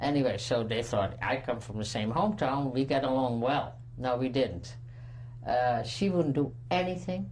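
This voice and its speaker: A woman's very deep, low voice in a Dutch accent, ordinary pitch variation, and audible room echo. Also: moderate pace. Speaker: Holocaust survivor. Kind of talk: testimony. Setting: recorded interview. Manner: halting.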